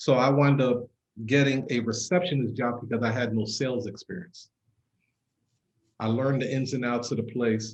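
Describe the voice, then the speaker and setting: With a New York accent, a man speaks at a fairly quick pace in a medium pitch, his fairly even intonation carried by a somewhat breathy voice. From Brooklyn, New York. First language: not English. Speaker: entrepreneur. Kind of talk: casual interview. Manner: casual, profane.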